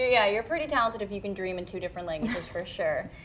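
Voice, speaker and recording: A woman with a Canadian accent over noticeable background noise. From British Columbia, Canada. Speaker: TV show host. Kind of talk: casual chat.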